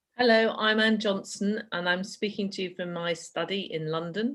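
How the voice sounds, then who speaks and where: Over a quiet background, a woman talks at a moderate pace with ordinary pitch variation in an ordinary speaking voice. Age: 60s. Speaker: epidemiologist. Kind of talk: panel discussion. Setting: video call from home study.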